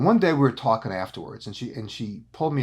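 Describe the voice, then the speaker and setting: Somewhat breathy, a man speaks at a medium pitch with lively intonation in a very clean recording with a silent background. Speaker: executive coach. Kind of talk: business advice talk. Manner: animated.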